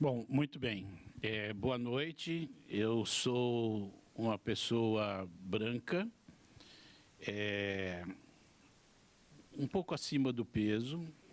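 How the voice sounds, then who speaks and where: A man's medium-pitched voice at a very slow pace, with long, frequent pauses, ordinary pitch variation and very even loudness. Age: 70s. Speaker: education official. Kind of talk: welcome speech.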